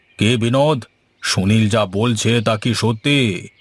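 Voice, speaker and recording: Putting on a cartoonish character voice, a man speaks at a medium pitch and a fairly slow pace with fairly even intonation. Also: very clean recording, silent background. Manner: authoritative.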